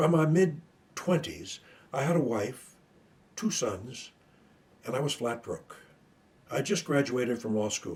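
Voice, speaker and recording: A somewhat breathy man at a medium pitch, fairly slow in pace, with lively intonation. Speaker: retired attorney sharing stuttering story. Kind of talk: personal testimony. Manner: formal.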